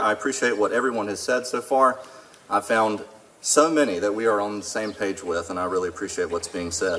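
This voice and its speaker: He talks at a very fast pace. His intonation is lively. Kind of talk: public speech. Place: stage. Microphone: podium.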